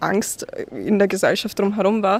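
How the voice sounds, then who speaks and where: The speaker is a woman using monotone, flat intonation. She keeps a moderate pace. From Austria, Vienna. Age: young. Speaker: law student. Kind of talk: testimony. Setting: outdoors.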